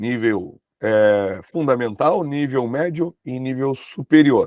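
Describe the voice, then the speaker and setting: A man's medium voice with normal pitch movement unfolds very slowly. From southern Brazil, Uruguaiana RS. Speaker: teacher. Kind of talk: online lecture. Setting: live stream with chat.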